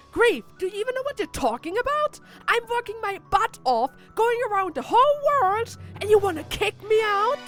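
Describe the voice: A woman's put-on character voice at an extremely high pitch, fairly bright in tone, with big pitch swings, a moderate pace, few pauses and faint music in the background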